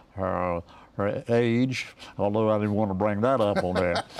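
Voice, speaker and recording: With an Eastern North Carolina accent, a man speaks at a moderate pace and fairly low pitch, his intonation fairly even over a quiet background. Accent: Eastern North Carolina Southern US. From rural Eastern North Carolina. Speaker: retired radio broadcaster and station owner. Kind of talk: interview answer. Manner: conversational, hesitant.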